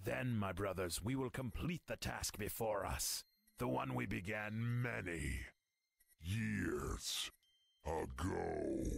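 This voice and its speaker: A raspy, put-on character voice moves at a very slow pace. Its pitch swings very wide. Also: man, fairly low pitch for a man. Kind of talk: solemn, archaic. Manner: creepy, menacing.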